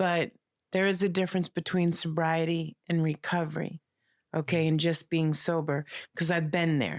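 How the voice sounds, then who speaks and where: Her voice a fairly low pitch, a woman speaks at a moderate pace with monotone, flat intonation and very even loudness, in a dry, close sound with no echo on a very clean recording with a silent background. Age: 60s. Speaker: recovery podcast co-host. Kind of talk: casual chat.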